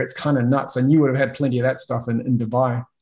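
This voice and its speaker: This is a man talking with a New Zealand accent. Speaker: podcast host, sales coach. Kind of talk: interview.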